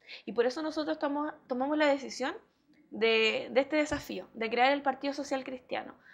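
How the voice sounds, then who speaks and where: A woman speaks with a high pitch and ordinary pitch variation. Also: moderate pace. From Chile, Hualpén (Biobío region); Biobío region, Chile. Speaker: mayoral candidate and school education assistant; candidate. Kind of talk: TV interview. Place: studio. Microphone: lapel.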